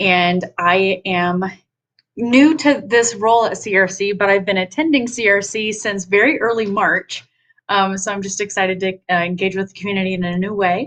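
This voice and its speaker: With an American accent, a woman talks at a moderate pace and medium pitch, her pitch varying in an ordinary way. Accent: Southern accent only when upset. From Nashville, Tennessee, US South. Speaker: online community director. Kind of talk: casual self-introduction.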